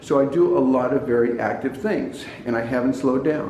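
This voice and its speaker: A man with an American accent speaks at a medium pitch and a moderate pace, with ordinary pitch variation. Audible room echo and noticeable background noise come through. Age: 70s. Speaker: health and diet talk presenter. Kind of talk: informal talk to camera. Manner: hesitant, repeats words and fillers.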